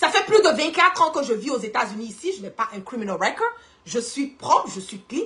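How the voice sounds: The tone is fairly bright, with big pitch swings. The pace is fairly quick. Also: woman, fairly high pitch for a woman.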